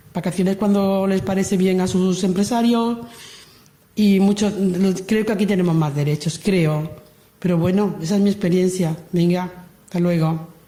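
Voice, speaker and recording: Moderate pace, very even loudness and fairly even intonation, broken by long, frequent pauses. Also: woman, medium pitch for a woman. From Andalusia, Lucena (Córdoba). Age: 60s. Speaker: migrant worker giving testimony. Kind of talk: testimony.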